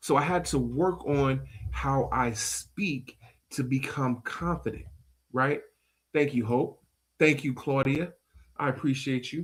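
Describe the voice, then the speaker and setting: The voice has a creaky vocal fry. It moves at a very slow pace. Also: man, very clean recording, silent background. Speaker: podcast and radio show host. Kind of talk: motivational talk on a live stream. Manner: sometimes trips over words.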